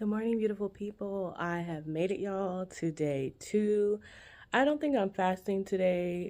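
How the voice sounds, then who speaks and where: With a dark, mellow tone and ordinary pitch variation, a woman speaks at a fairly slow pace on a very clean recording with a silent background. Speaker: lifestyle vlogger. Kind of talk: casual vlog. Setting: office at work. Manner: quiet, talking low in office.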